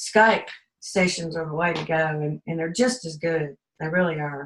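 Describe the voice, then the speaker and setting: A woman's fairly low voice at a moderate pace, with ordinary pitch variation. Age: 60s. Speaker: client giving a testimonial. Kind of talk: testimony. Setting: video call. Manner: hesitant, with fillers.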